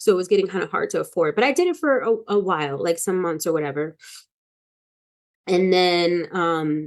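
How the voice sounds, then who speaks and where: A woman speaks in a normal speaking voice at a moderate pace. Her pitch is medium, with ordinary variation. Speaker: wellness teacher and vlogger. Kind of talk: personal vlog monologue. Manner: casual, with many fillers.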